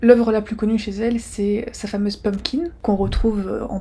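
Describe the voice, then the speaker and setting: A soft-spoken woman at a medium pitch, her intonation fairly even. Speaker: art YouTuber. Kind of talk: educational video. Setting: rented apartment. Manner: soft-spoken, quiet.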